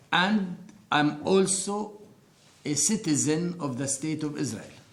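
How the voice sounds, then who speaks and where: Fairly slow speech in a space with audible room echo. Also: man, fairly high pitch for a man, ordinary pitch variation. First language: Arabic. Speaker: interviewee sharing life story. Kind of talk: testimony.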